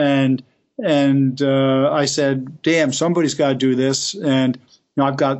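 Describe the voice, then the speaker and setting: An American-accented man at a fairly slow pace, fairly high in pitch, with monotone, flat intonation. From US Northeast, Elizabeth, New Jersey. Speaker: manufacturing advocate, former company president. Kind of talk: interview. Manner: halting, many repetitions.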